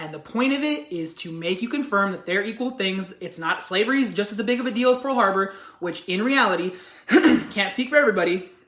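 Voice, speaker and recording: Over noticeable background noise, a woman with an American accent talks at a very fast pace in an animated tone, with medium pitch and lively intonation. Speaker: YouTuber discussing social issues. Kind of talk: casual commentary vlog.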